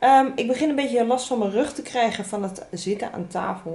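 A woman speaks at a moderate pace. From Netherlands. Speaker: vlogger. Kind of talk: casual vlog talk to camera. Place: home room.

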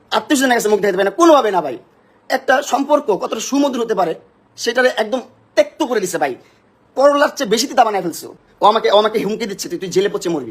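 Lively intonation and an angry tone. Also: man, high pitch for a man. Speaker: social media personality. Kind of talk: heated argument on a livestream. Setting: live video stream at home, at night. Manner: angry, shouting.

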